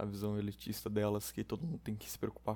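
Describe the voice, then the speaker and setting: The speaker is a man. His pitch is fairly low. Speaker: podcast host. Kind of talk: solo casual monologue. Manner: halting, many fillers.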